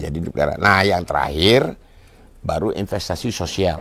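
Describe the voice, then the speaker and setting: A man's voice at a moderate pace with lively intonation. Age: 60s. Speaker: bonsai grower. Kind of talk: casual interview.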